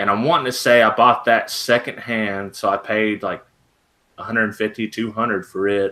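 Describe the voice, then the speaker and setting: His voice has a bright, sharp edge. The speaker is male. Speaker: DIY YouTuber. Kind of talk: casual chat. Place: home room. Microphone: webcam.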